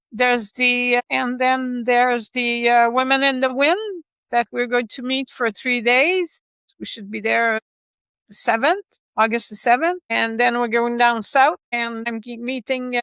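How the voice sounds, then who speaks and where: With a Quebec accent, a woman speaks at a high pitch. She keeps a fairly slow pace. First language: French. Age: 60s. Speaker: motorcycle rider and author. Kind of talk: interview. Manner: halting.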